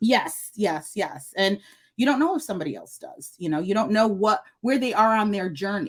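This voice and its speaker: An American-accented woman speaks at a moderate pace with a medium pitch and an animated tone. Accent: northern US, noticeable in the South. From northern US. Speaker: nurse and wellness coach. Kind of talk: podcast interview.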